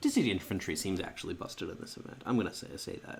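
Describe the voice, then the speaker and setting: A soft-spoken man at a fairly quick pace. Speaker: card game streamer. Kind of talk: gameplay commentary. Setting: recording at home at night. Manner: halting.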